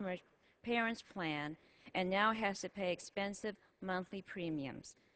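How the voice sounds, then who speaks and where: Speaking at a moderate pace, a woman has an unremarkable speaking voice with medium pitch and ordinary pitch variation. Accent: American. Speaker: member of the House of Representatives. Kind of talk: formal legislative floor speech.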